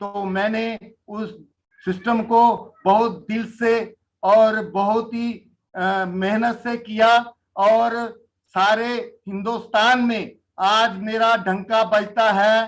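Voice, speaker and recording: The man's voice sits high in pitch. His intonation stays monotone and flat. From Jammu, India. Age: 60s. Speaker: network marketing leader. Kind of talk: interview testimony.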